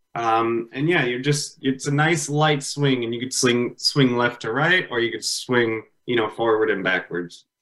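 A man's medium-pitched voice at a fairly slow pace, with ordinary pitch variation, hardly any pauses and music in the background. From US Midwest, Illinois (Palatine). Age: 30s. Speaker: furniture business owner. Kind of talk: interview.

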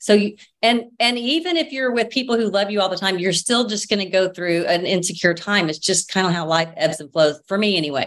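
An ordinary speaking voice, a woman's, with an American accent and medium pitch. She talks at a fairly quick pace with lively intonation and hardly any pauses. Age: 50s. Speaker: social media personality. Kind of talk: casual chat.

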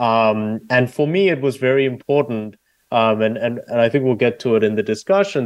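The speaker has an Australian accent and talks at a fairly quick pace against a quiet background. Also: man. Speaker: debate coach and author. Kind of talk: interview. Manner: hesitant with frequent fillers.

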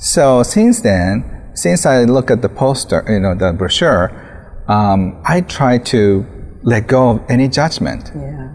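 Noticeable background noise surrounds a man with a Japanese accent and medium pitch. He speaks at a very slow pace with very wide pitch swings. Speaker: author. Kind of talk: interview. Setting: outdoors.

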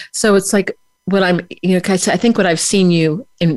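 A woman talks with a fairly low pitch and fairly even intonation. It is an ordinary speaking voice. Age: 60s. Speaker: radio show host. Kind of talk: interview. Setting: radio studio, live-streamed on Facebook.

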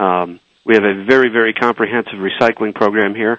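In a normal speaking voice, a man talks at a fairly low pitch with fairly even intonation, the sound dry and close with no echo. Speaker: ballpark operations director. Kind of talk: radio interview.

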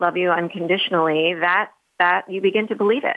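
Here a woman uses an ordinary speaking voice at a moderate pace, with medium pitch and ordinary pitch variation. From New York City, Manhattan. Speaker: author. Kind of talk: interview.

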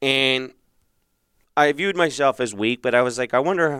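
A man speaks with vocal fry in a very clean recording with a silent background, the sound dry and close with no echo. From Philadelphia, US. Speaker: marriage coach. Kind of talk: solo podcast monologue. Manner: halting with many fillers.

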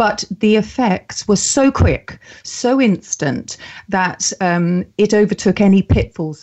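A woman with a southern English accent speaks with ordinary pitch variation. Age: 50s. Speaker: mental health campaigner and author. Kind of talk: interview.

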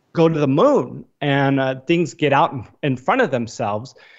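In an ordinary speaking voice, a man talks at a fairly high pitch with fairly even intonation against a quiet background. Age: 30s. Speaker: investor and financial analyst. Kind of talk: interview.

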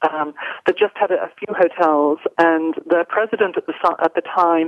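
With an American accent, a woman talks at a moderate pace in a fairly low voice with fairly even intonation. The sound is dry and close, with no echo. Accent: British with American slipping in. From England. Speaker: corporate executive. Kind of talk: radio interview.

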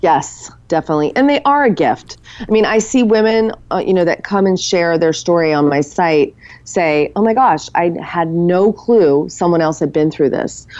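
With a normal speaking voice, a woman talks at a moderate pace in a fairly low pitch with lively intonation. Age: 40s, turning 50. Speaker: author and women's community founder. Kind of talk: interview.

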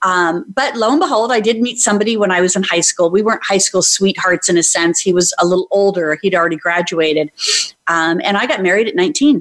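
This is a normal speaking voice with lively intonation and very even loudness. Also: woman, medium pitch for a woman, fairly quick pace. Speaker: brand coach and author. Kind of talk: interview.

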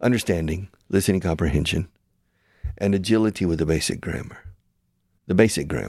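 Here a man with an American accent has a very deep, low pitch, vocal fry, and ordinary pitch variation. He moves at a fairly quick pace but leaves long, frequent pauses. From United States. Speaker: radio show host and language school founder. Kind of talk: interview. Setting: studio. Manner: animated.

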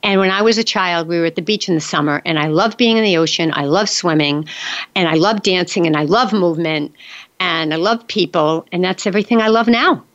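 A woman's fairly low voice at a fairly quick pace, with ordinary pitch variation and a normal speaking voice. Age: 60s. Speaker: radio host. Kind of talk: interview; scripted narration. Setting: studio.

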